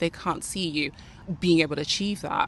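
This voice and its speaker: A woman talks at a very fast pace. Her fairly low voice shows ordinary pitch variation. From Nigeria, moved to UK around age 11. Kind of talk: motivational talk to camera.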